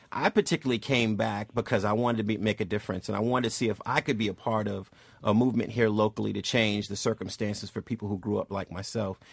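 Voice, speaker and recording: A man with an American accent talks at a very fast pace, pitched fairly low in a monotone, flat delivery, with a dry, close sound and no echo. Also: hardly any pauses. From Boston, Massachusetts. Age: 40s. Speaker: civil rights organization leader. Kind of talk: radio talk show interview.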